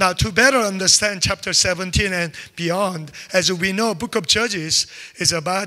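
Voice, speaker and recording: A man's raised, projected voice has a bright, sharp tone and ordinary pitch variation against a quiet background. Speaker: preacher. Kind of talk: sermon. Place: church. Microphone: handheld.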